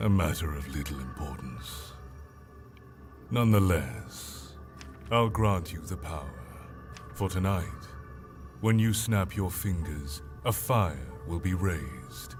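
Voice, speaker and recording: A man uses a put-on character voice with a very deep, low pitch and a menacing tone. He goes at a fairly slow pace with long, frequent pauses, over clear background noise. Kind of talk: dark fantasy villain. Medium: video game. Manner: slow, grave, menacing.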